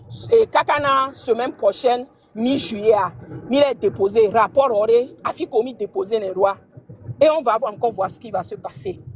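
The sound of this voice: With few pauses and a moderate pace, a woman talks in a fairly high pitch with a slightly husky edge and ordinary pitch variation.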